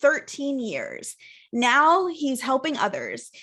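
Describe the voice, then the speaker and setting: A raised, projected voice with a bright, sharp tone speaks very slowly, with ordinary pitch variation. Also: woman. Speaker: podcast host. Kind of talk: podcast interview questions.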